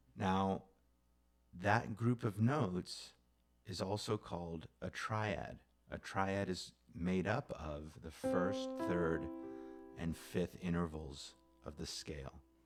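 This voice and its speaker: Over music in the background, a man with a very deep, low voice speaks at a very slow pace, leaving long, frequent pauses. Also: lively intonation. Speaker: music teacher. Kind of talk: music theory lesson. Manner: casual, conversational.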